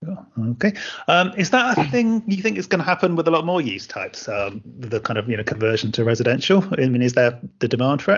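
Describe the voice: Speaking at a fairly quick pace, a man uses lively intonation with a slightly husky edge. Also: medium pitch for a man.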